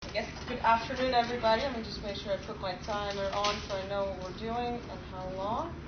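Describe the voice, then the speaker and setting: Speech moves at a fairly quick pace with hardly any pauses and fairly even intonation. Noticeable background noise and audible room echo are present. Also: woman, fairly high pitch for a woman. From Poland. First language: Polish. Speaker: software engineer presenting at a user group. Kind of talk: technical presentation. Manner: fast.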